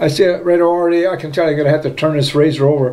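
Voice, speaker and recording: Light background noise sits under this voice. A man talks at a very fast pace. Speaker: shaving video creator. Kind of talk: casual video monologue. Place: home room. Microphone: phone near.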